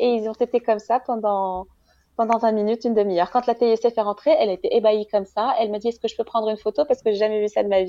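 Against a quiet background, a woman with a fairly high pitch and a dark, mellow tone speaks at a very fast pace with fairly even intonation. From Morocco. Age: 30s. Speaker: mother of triplets, marketing professional. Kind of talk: testimony. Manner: halting.

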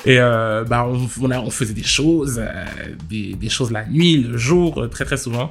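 There is noticeable background noise and audible room echo. A man speaks at a medium pitch with ordinary pitch variation and a fairly slow pace. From France, Paris suburbs (Val-d'Oise housing estate). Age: 20s. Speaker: interviewee. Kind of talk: testimony.

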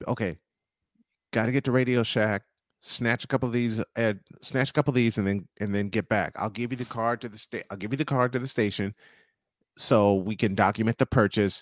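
An unremarkable speaking voice from a man, medium-pitched and fairly quick, with fairly even intonation, in a dry, close sound with no echo and a very clean recording on a silent background. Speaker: sports radio host. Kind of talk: casual interview, talk show. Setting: studio, broadcast live.

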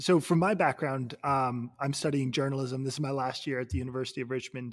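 At a fairly quick pace, a man with an unremarkable speaking voice talks at medium pitch with fairly even intonation. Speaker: podcast host, journalism student. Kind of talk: casual interview.

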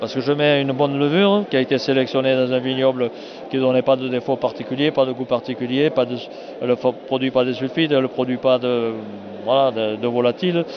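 Noticeable background noise accompanies a man speaking at a fairly quick pace, with medium pitch and fairly even intonation. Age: 70s. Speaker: winegrower. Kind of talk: casual interview.

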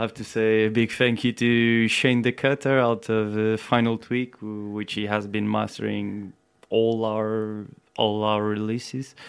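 At a fairly slow pace, a man with a Portuguese accent speaks in a fairly low, monotone voice with flat intonation. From Portugal. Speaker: reggae record label owner. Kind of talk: casual chat.

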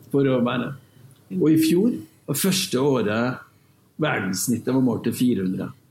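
A man with a medium pitch speaks at a fairly slow pace with long, frequent pauses. His intonation is lively while his loudness stays very even. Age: 40s. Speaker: oil company sustainability director. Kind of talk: panel discussion.

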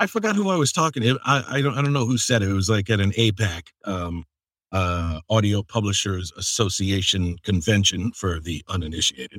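A man's fairly low voice with an American accent, an ordinary speaking voice at a fairly quick pace with ordinary pitch variation, dry and close with no echo on a very clean recording over a silent background. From US Northeast. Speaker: podcast host and audiobook narrator. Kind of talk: casual chat.

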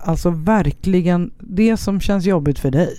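A woman speaks in a fairly low pitch with a dark, mellow tone. Her pace is moderate and her intonation fairly even. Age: 40s. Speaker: podcast host. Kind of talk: casual chat. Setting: temporary studio.

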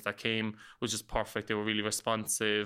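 On a very clean recording with a silent background, a man with a Cork accent speaks fairly quickly at a medium pitch in a bright, sharp tone. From Ireland, north side of Cork city. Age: 30s. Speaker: podcaster and professional dancer. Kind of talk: casual interview chat. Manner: animated.

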